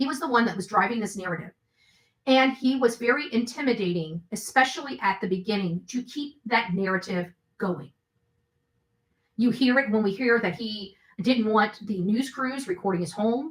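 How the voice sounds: A woman speaks at a medium pitch. Her voice has a slightly husky edge. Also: ordinary pitch variation, moderate pace.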